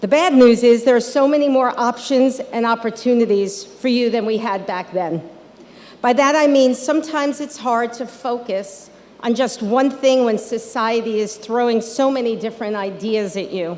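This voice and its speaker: Her voice is an ordinary speaking voice, pitched fairly high with ordinary pitch variation. This woman keeps a moderate pace. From Long Island, New York. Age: 60s. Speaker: local politician. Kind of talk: commencement speech. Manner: casual, conversational.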